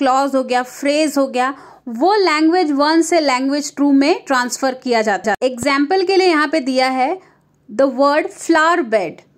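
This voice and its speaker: A high-pitched woman with lively intonation. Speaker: online literature tutor. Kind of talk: exam-prep lecture mixing Hindi and English.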